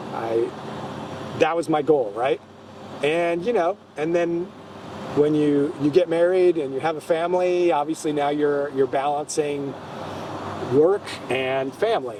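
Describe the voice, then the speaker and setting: Noticeable background noise sits behind a man with an American accent, fairly high in pitch with ordinary variation. He talks at a fairly slow pace with long, frequent pauses. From US Midwest (Gary, Indiana / Chicago area). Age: 60s. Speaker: actor and teacher. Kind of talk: casual interview.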